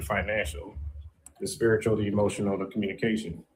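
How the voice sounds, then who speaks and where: A normal speaking voice at a fairly quick pace. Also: man. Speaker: dating show contestant. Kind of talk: casual panel discussion.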